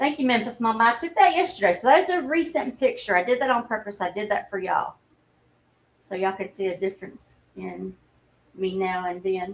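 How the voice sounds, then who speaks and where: A woman talks at a fairly quick pace in a fairly high pitch. Her pitch swings very widely. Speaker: livestreamer. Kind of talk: casual chat. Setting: livestream.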